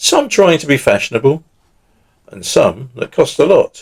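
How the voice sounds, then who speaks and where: In a southern English accent, a man talks at a fairly slow pace. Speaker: poet. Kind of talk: poetry reading.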